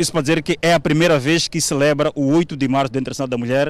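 A man races along at a very fast pace, his pitch fairly high and his intonation fairly even. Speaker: TV reporter. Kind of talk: field report.

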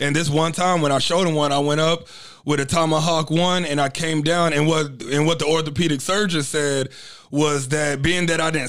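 Fairly quick, monotone delivery with flat intonation, in an American accent. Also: man. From Texas, Dallas. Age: young. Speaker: professional wrestler and fitness coach. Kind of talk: casual interview chat. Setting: studio.

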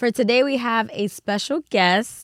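Dry and close, the sound carries no echo. A woman talks on a very clean recording over a silent background. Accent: New York. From the Bronx, New York. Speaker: podcast host. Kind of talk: casual chat.

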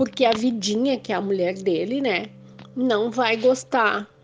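A woman speaks at a fairly slow pace with a fairly high pitch and ordinary pitch variation, over noticeable background noise. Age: 50s. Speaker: near-death experience survivor. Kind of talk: testimony.

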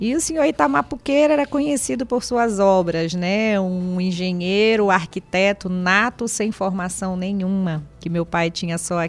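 A woman with an ordinary speaking voice, medium pitch and lively intonation, at a fairly slow pace with hardly any pauses. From Castanhal, Pará, Brazil (born in Minas Gerais). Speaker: municipal secretary. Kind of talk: radio interview.

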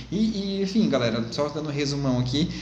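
With audible room echo and noticeable background noise, a man delivers his words very fast and with ordinary variation in pitch. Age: 30s. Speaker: sales coach. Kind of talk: tutorial.

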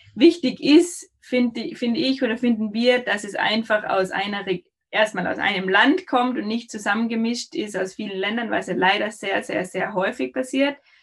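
A woman's fairly high, lively voice at a moderate pace, a normal speaking voice. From Austria. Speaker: olive oil and almond producer. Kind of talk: casual interview.

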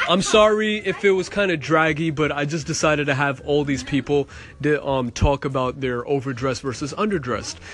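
Noticeable background noise runs through the clip. A man speaks with lively intonation. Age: 30s. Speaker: podcast host. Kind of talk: casual chat. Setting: at a family party.

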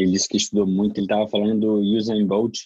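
In a Brazilian accent, a man talks with a fairly low pitch and monotone, flat intonation. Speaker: podcast host. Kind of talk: live interpreting.

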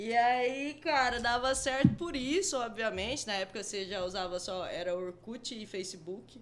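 With a fairly high pitch, a woman talks at a moderate pace. She has a plain, everyday voice. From Mato Grosso, Brazil (Rondonópolis). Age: 30s. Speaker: advertising professional and crypto investor. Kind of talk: casual chat.

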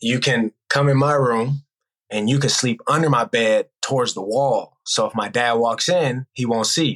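The speaker talks at a fairly slow pace in an American accent. The sound is dry and close, with no echo. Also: man. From US West Coast, Bay Area (Oakland, Hayward), California. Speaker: basketball coach and former pro player. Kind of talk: casual interview.

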